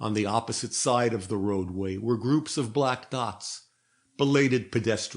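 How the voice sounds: Against a quiet background, the speaker uses a natural reading voice.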